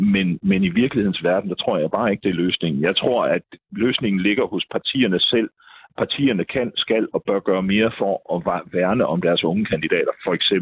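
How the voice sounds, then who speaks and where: A man talks at a moderate pace in a fairly low pitch with very even loudness. It is an unremarkable speaking voice with ordinary pitch variation. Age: 50s. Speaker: local politician. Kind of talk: political debate. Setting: phone call.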